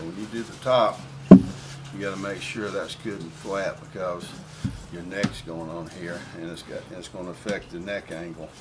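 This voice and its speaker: Amid noticeable background noise, a man with a Southern US accent and a very deep, low pitch talks at a moderate pace, with ordinary pitch variation and big swings in loudness. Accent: Southern US (Georgia). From US South, Atlanta, Georgia. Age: 60s. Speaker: guitar builder. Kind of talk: tutorial. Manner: casual, folksy.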